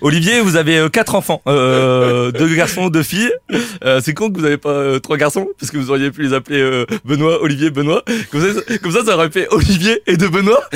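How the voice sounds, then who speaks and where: The man's voice sits fairly high, with lively intonation at a moderate pace. The sound is dry and close, with no echo. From Corsica. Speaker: comedian radio columnist. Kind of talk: comic roast column.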